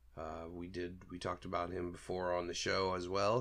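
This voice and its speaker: This man speaks in a very deep, low voice. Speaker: podcast host. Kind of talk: casual solo commentary. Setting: home studio. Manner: halting with fillers.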